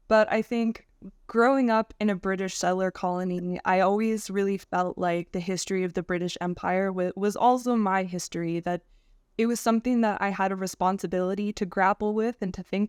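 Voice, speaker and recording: In a normal speaking voice, a woman talks fairly quickly with a Canadian accent, at medium pitch and with ordinary pitch variation. The recording is very clean, with a silent background and a dry, close sound free of echo. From Canada. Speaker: historian. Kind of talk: interview.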